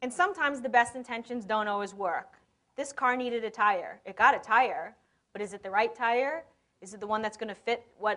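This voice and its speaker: The woman's voice is fairly high in pitch, with a bright, sharp tone and lively intonation. Her loudness swings widely. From New York. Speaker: conference speaker, e-commerce consultant. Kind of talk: conference talk. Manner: fast.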